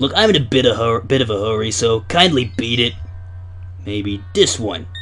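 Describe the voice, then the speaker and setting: A man's put-on character voice at medium pitch, moderate pace and clear background noise. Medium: dub. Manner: nervous, stammering.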